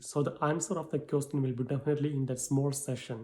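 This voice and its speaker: This somewhat breathy voice has a dark, mellow tone and fairly even intonation. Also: man. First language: not English. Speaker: English exam tutor. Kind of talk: tutorial. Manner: halting.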